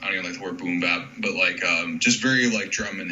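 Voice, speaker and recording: The speaker, with an American accent, talks at a fairly quick pace. Room echo is audible and background noise is noticeable. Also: man. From North Carolina. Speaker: hip hop beat producer. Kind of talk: interview. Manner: casual, many fillers.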